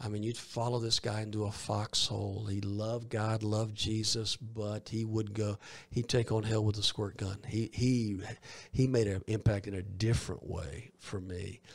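On a very clean recording with a silent background, a man speaks in a somewhat breathy, fairly low voice at a moderate pace with monotone, flat intonation. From US South, Columbus, Georgia. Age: 50s. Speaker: evangelist. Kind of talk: interview. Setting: studio.

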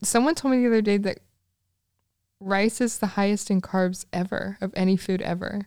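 Using an unremarkable speaking voice, a woman talks at a moderate pace with medium pitch and fairly even intonation. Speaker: host's best friend and assistant. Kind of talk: casual chat. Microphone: sharing one microphone, faces close.

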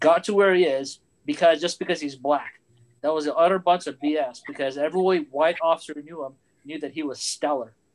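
A man with a normal speaking voice, fairly high pitch and fairly even intonation at a fairly quick pace. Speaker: pilot and aerospace engineer. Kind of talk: panel discussion. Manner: self-deprecating.

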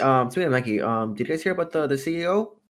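A normal speaking voice comes from a man at medium pitch with lively intonation. The recording is very clean, with a silent background. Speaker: podcast co-host. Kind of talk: casual chat.

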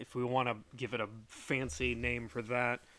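Recorded very cleanly against a silent background, a man talks fairly slowly at a medium pitch. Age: 30s. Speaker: podcast host; former Marine. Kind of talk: solo monologue. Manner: casual, filler-heavy speech.

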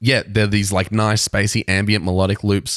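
Speaking at a fairly quick pace with an Australian accent, a man with a fairly low voice is heard in a dry, close sound with no echo. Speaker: podcast co-host. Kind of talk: casual chat.

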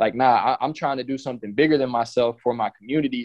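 A man speaks with an American accent. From Texas, College Station. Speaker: former college basketball player and trainer. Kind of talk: casual chat.

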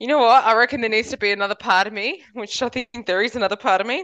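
The sound is dry and close, without any echo. A woman talks at a very fast pace. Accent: Australian. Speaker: podcast co-host. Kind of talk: casual chat.

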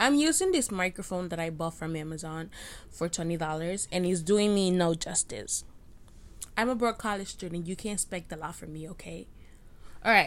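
With an unremarkable speaking voice, a woman talks at a moderate pace in a fairly low pitch with ordinary pitch variation and big swings in loudness, captured in a very clean recording with a silent background. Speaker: podcaster and college student. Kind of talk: casual solo rant. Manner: rambling, self-deprecating.

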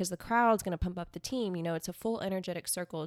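An unremarkable speaking voice from a woman at medium pitch with an American accent, fairly even intonation, and a dry, close sound with no echo on a very clean recording with a silent background. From South Texas, Corpus Christi. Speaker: dancer and social media influencer. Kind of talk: casual interview. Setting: living room.

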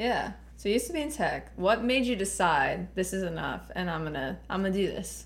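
With audible room echo, a woman talks in an American accent at a fairly quick pace. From Laredo, Texas. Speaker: podcast host. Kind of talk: casual chat.

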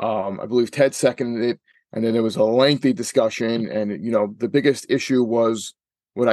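Fairly quick and fairly even in intonation, a man talks with a New York accent. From New York City, Staten Island. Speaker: regional director of a shooting sports association. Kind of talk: interview. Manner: hesitant, many fillers.

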